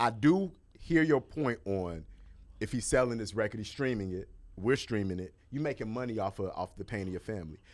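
A man with a plain, everyday voice, fairly low in pitch and lively in intonation, at a fairly quick pace, in a very clean recording with a silent background. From Chicago, US Midwest. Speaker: entertainment journalist and TV host. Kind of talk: casual chat.

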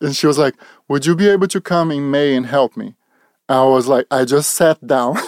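A man with a Brazilian accent talks at a moderate pace in a fairly high voice with ordinary pitch variation, the sound dry and close with no echo. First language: Portuguese. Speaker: portrait photographer. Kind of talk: casual interview. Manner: halting.

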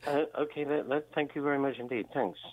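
The speech moves at a fast pace. Its intonation stays fairly even. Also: man, medium pitch for a man.

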